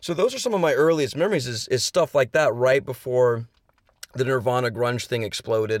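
A man speaks fairly quickly with an American accent in a normal speaking voice. His pitch varies in an ordinary way. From Houston, Texas. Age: 30s. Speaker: rock musician. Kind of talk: casual interview. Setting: in a car.

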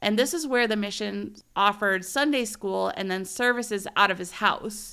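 The woman's voice is bright and sharp, medium in pitch, with ordinary pitch variation. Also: very clean recording, silent background. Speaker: solo history podcast host. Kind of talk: scripted narration.

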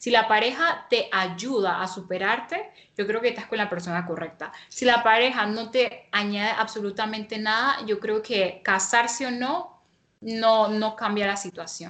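Her tone is bright and sharp, with ordinary pitch variation. The woman speaks at a fairly slow pace. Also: fairly high pitch for a woman. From Panama. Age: 20s. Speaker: interviewee, young married woman and home baker. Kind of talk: personal testimony in interview.

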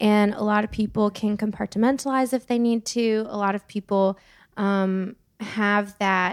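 A woman with a normal speaking voice and an American accent, fairly high pitch, fairly even intonation and a fairly slow pace, in a very clean, dry, close recording with a silent background and no echo. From California. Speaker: singer-songwriter. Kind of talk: casual chat.

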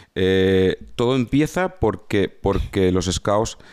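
A man with a fairly low pitch speaks in an animated tone with lively intonation. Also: very clean recording, silent background. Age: 50s. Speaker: former soldier and entrepreneur. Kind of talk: casual interview.

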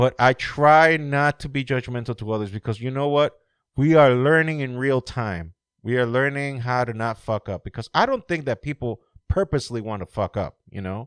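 Recorded with a dry, close sound, no echo and a quiet background, a man speaks in a normal speaking voice at a medium pitch, with ordinary pitch variation and a moderate pace. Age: 40s. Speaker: podcast host. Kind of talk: casual chat.

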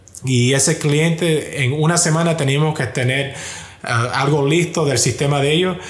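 A man talks at a moderate pace with ordinary pitch variation, while noticeable background noise and audible room echo fill the recording. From US, Miami. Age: 20s. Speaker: software engineer at a big tech company. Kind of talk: testimony.

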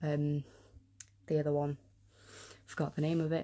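Against a quiet background, a woman speaks with a very deep, low pitch and a dark, mellow tone. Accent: North Welsh. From North Wales. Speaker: podcast host. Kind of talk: casual solo talk. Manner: halting, many fillers.

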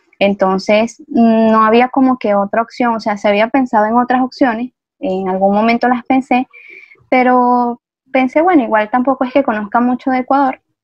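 A high-pitched woman's voice, fairly even in intonation, at a moderate pace. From Venezuela. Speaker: migrant teacher. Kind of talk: interview.

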